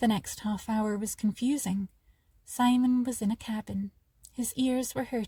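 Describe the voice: The speaker does plain reading aloud.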